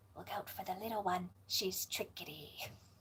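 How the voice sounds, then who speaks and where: Using a put-on character voice, a female-sounding speaker talks in a raspy tone at medium pitch and a moderate pace. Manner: snide.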